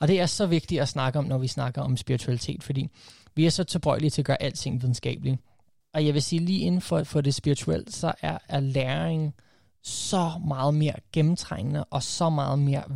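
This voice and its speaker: A man speaks at a moderate pace and a fairly high pitch, with ordinary pitch variation and a somewhat breathy, dark, mellow tone. The recording is very clean, with a silent background and a dry, close sound with no echo. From USA (half American, first 12 years), then Denmark. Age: 30s. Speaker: coach and podcaster. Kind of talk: casual interview. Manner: halting, many fillers.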